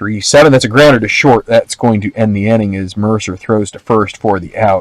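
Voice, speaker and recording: With a normal speaking voice, a man talks at a fairly quick pace and a fairly low pitch, his intonation fairly even but his loudness swinging widely. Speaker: tabletop baseball game host. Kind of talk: tabletop game play-by-play commentary.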